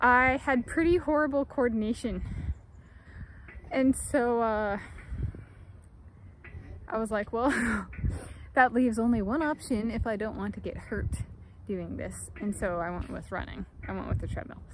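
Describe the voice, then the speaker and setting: A woman talks at a moderate pace, with ordinary pitch variation and long, frequent pauses. The sound is dry with no echo, over light background noise. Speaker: vlogger. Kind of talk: casual vlog chat. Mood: amused, reflective. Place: open country. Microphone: phone near.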